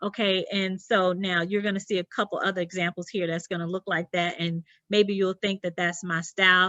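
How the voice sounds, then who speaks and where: A woman speaks with a Southern US accent at a fairly quick pace. Her medium-pitched voice stays monotone and flat. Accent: southern twang. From US South, South Carolina. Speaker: interior designer. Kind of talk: presentation. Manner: halting.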